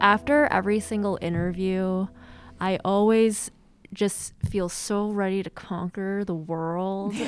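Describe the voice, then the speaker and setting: Using a normal speaking voice, a woman talks fairly slowly at medium pitch with fairly even intonation. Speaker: student podcast co-host.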